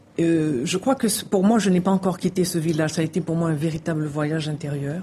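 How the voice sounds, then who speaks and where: Fairly quick and somewhat breathy, a woman talks in a dark, mellow tone at a fairly low pitch with ordinary pitch variation. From Haiti. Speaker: novelist. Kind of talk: interview.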